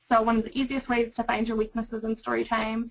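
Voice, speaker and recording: This is a woman speaking. Her pitch is fairly high. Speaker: librarian. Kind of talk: webinar presentation. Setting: webinar. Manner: loud.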